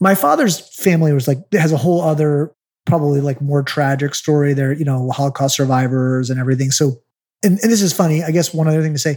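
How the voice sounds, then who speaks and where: A man with an unremarkable speaking voice talks at a fairly quick pace and fairly high pitch, with ordinary pitch variation. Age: 40s. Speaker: real estate investor. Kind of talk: interview. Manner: casual, filler-heavy.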